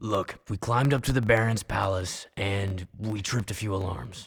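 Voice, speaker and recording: A man speaks at a moderate pace in a put-on character voice, fairly low in pitch, with ordinary pitch variation. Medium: video game. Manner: blunt, defiant.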